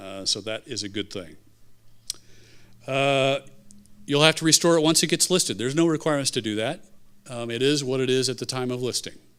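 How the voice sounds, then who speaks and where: At a fairly quick pace, a man speaks with medium pitch and ordinary pitch variation, broken by long, frequent pauses. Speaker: state historic preservation official. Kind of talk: presentation. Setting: public meeting in a theater. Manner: fast.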